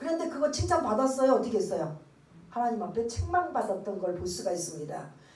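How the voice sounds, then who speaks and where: A woman's voice with very wide pitch swings carries audible room echo and noticeable background noise. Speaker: pastor. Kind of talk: sermon.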